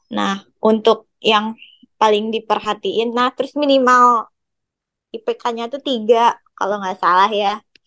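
A woman speaks at a very slow pace with a bright, sharp tone and fairly high pitch. Her intonation is fairly even, and the sound is dry and close with no echo. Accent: West Javanese. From West Java (Bandung). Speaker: university student. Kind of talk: casual chat.

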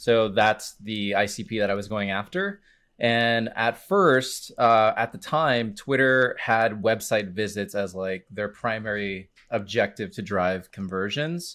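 A man speaks at a fairly slow pace with hardly any pauses, his fairly low pitch showing ordinary variation and his tone bright and sharp. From Miami, Florida (Cuban Puerto Rican). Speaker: B2B advertising expert. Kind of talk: casual interview chat.

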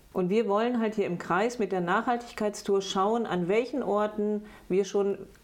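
A woman talks at a fairly slow pace in a medium pitch. Hers is an ordinary speaking voice with ordinary pitch variation. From Bad Lippspringe, East Westphalia, Germany. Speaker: politician, state parliament candidate. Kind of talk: interview.

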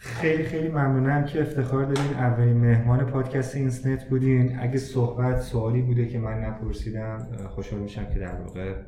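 Medium-pitched male speech at a fairly quick pace with fairly even intonation, audible room echo and noticeable background noise. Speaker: podcast host. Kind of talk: interview. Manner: formal.

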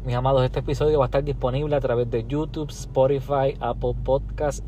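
Audible room echo surrounds this male speaker. Noticeable noise also runs in the background. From Puerto Rico. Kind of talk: casual chat.

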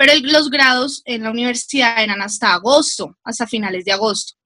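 The tone is bright and sharp, with ordinary pitch variation at a moderate pace. The sound is dry and close, with no echo. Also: woman. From Colombia, Bogotá. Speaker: occupational health and safety professional. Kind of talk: casual chat.

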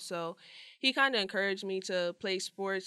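With an American accent, a woman speaks in a bright, sharp tone at medium pitch, on a very clean recording with a silent background. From New Jersey. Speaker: college basketball player. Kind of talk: casual interview. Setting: studio.

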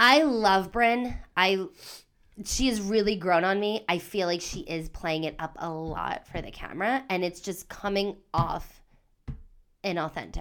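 On a very clean recording with a silent background, a woman with a plain, everyday voice speaks at a fairly slow pace and medium pitch with ordinary pitch variation. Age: 30s. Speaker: podcast co-host. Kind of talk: casual chat.

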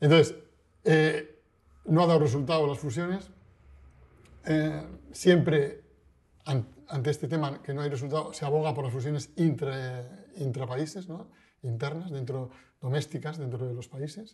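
A man's fairly high, somewhat breathy voice at a fairly slow pace, with ordinary pitch variation and long, frequent pauses. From Basque Country, Spain (Bilbao). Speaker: financial journalist. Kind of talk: interview. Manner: hesitant, with frequent repetitions.

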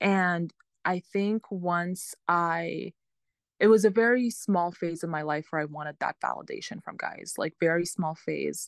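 A woman with a normal speaking voice and an American accent speaks at a fairly low pitch with ordinary pitch variation and a dry, close sound with no echo. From US, Lebanese family. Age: 20s. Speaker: pharmaceutical sales rep. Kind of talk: casual interview chat.

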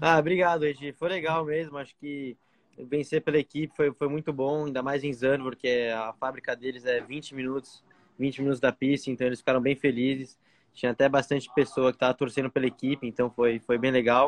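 With a normal speaking voice, a man of medium pitch talks at a fairly quick pace with fairly even intonation in a dry, close sound with no echo. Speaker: racing driver. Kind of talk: casual interview. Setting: remote call from outside a restaurant.

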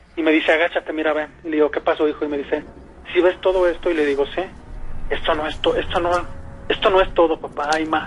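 A man speaks very fast in a fairly high, monotone, flat voice, broken by long, frequent pauses. Noticeable background noise runs underneath. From Mexico. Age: 30s. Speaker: caller. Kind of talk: personal testimony. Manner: halting.

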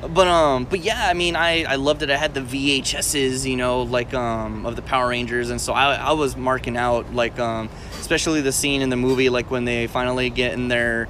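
A man with an American accent talks fairly quickly, with hardly any pauses and fairly even intonation. Noticeable background noise runs underneath. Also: medium pitch for a man. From Texas, San Antonio. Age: 20s. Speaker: podcast host, aspiring actor and comedian. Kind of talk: casual chat. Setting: recorded on a tablet.

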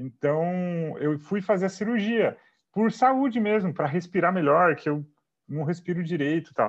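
Against a quiet background, a man talks at a fairly slow pace. His pitch is high. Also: lively intonation. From Brazil, Sorocaba (São Paulo state). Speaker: comedian. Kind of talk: casual interview chat.

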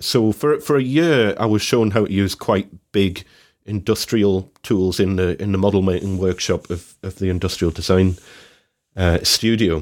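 A man with an unremarkable speaking voice, fairly low in pitch, with ordinary pitch variation and a moderate pace, in a very clean recording with a silent background. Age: 40s. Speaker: woodworker and podcast co-host. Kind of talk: casual chat.

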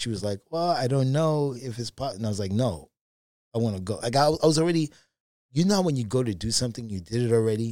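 A man with a New York accent races along at a very fast pace, using a medium pitch, a dark, mellow tone and lively intonation, on a very clean recording with a silent background. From Brooklyn, New York. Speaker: table tennis player and coach. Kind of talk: casual interview storytelling.

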